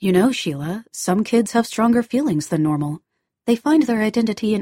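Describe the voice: Lively intonation and plain reading aloud, the background quiet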